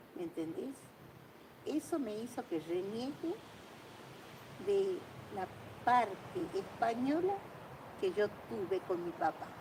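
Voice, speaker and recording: Against noticeable background noise, a woman with a high pitch speaks at a very slow pace with long, frequent pauses. Her pitch swings very widely. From Argentina. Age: 80s+. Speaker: painter telling family history. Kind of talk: casual storytelling conversation.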